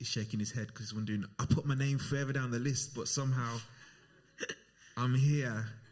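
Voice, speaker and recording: A somewhat breathy man's voice at a medium pitch, fairly even in intonation, on a very clean recording with a silent background. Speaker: event host. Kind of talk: live event hosting.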